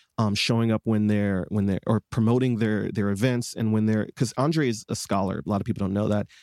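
Recorded dry and close with no echo and a silent background in a very clean recording, a man with an unremarkable speaking voice talks at a fairly low pitch with fairly even intonation. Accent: American. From Detroit, Michigan, US. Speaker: singer-songwriter and advocate. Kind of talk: interview conversation.

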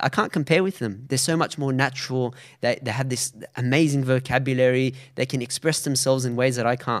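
Recorded very cleanly against a silent background, a man with an Australian accent talks at a fairly quick pace with a medium pitch. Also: fairly even intonation. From Australia, Sydney. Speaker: Arabic teacher, science graduate. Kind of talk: interview conversation.

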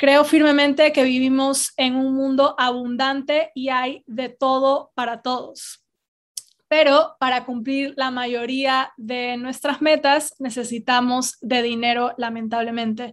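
In a monotone, flat intonation, a woman with a high pitch talks at a very slow pace. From Ecuador, Guayaquil. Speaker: podcast host on personal finance. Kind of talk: solo podcast monologue.

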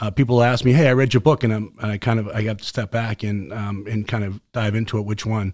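Talking at a fairly quick pace in a Boston accent, a man comes through a very clean recording with a silent background. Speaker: former special forces medic, product maker. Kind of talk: casual chat. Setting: outdoors. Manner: fast talker; passionate.

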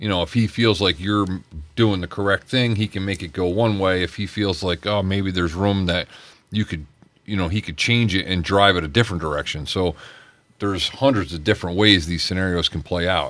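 This man's voice sits at a very deep, low pitch, and he talks at a moderate pace with ordinary pitch variation. The recording is very clean, with a silent background. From Pennsylvania, Poconos. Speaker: school resource police officer, ex-Marine. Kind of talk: radio interview.

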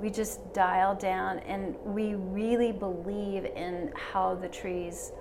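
A woman speaks over noticeable background noise. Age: 70s. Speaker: interior designer. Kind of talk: casual chat. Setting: studio.

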